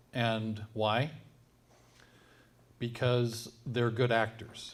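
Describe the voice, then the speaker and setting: The speaker is a man with a medium pitch. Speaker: tech company CEO. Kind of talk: presentation. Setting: event with live audience. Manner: loud.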